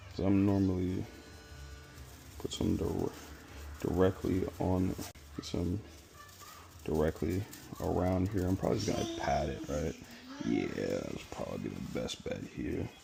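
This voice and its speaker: A man whispers at a fairly slow pace, with long, frequent pauses. Noticeable background noise can be heard. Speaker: cooking content creator. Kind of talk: cooking vlog tutorial. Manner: whispering; casual.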